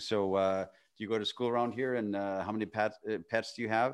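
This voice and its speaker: A man with a Canadian accent talks at a fairly quick pace in a plain, everyday voice. His pitch sits fairly low, and his intonation stays fairly even. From northwestern Canada. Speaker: dating coach and author. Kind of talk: casual interview chat. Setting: remote call.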